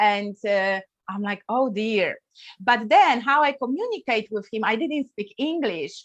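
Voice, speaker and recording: In a Polish accent, a woman talks at a fairly slow pace against a quiet background. Her pitch is fairly high, and her intonation is lively. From Poland. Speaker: wellness coach. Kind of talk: interview. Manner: hesitant, many fillers.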